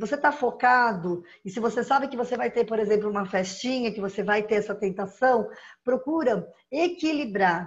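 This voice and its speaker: Over a quiet background, a woman with a plain, everyday voice speaks at a moderate pace, fairly high in pitch, with ordinary pitch variation. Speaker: nutritionist giving diet tips. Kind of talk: live-stream talk with viewer Q&A.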